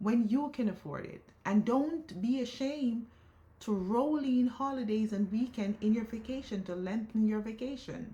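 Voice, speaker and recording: This woman has a fairly high pitch. Her tone is dark and mellow. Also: ordinary pitch variation, moderate pace. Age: 50s. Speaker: lifestyle vlogger. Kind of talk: personal vlog monologue. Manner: stutters; emotional, repetitive.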